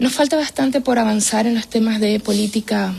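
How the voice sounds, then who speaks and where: Noticeable background noise runs behind this recording. A woman speaks at a fairly high pitch and a moderate pace. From Venezuela. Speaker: women's shelter coordinator, political scientist. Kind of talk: radio interview. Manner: hesitant, many fillers.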